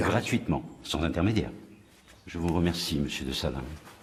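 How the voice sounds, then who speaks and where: Speaking at a fairly quick pace, a man with a very deep, low pitch and vocal fry shows ordinary pitch variation. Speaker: actor. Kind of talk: TV drama scene.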